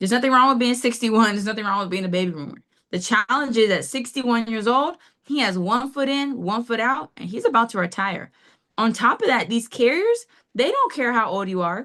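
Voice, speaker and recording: An energetic woman speaks at a fairly quick pace, her fairly high pitch carrying lively intonation. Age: 30s. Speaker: financial services agent. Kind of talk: business presentation on video call. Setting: video call.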